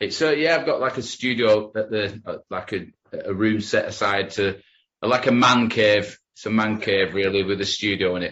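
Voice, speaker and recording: Speaking with a regional English accent, a man uses a fairly low pitch. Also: ordinary pitch variation, moderate pace. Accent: broad regional English. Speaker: rock musician. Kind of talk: interview.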